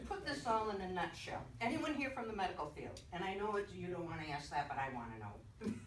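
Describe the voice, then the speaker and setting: A woman at medium pitch with very wide pitch swings, a fairly quick pace and hardly any pauses, plus noticeable background noise and audible room echo. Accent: American. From Boston. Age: 70s. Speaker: retired nurse giving a patient testimonial. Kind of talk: testimony. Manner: animated.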